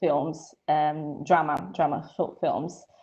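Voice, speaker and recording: A woman speaks with an Italian accent. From Italy. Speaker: filmmaker and photographer. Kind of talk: live Q&A panel. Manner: hesitant with many fillers.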